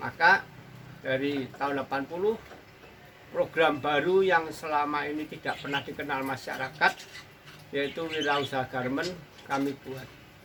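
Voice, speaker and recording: A man with a fairly high pitch and fairly even intonation talks at a moderate pace with long, frequent pauses amid noticeable background noise. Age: 60s. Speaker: tailor and sewing school founder. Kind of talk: interview monologue.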